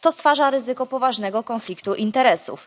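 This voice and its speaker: The speech comes at a very fast pace with ordinary pitch variation. The sound is dry and close, with no echo. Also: woman. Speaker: politician. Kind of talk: parliamentary question.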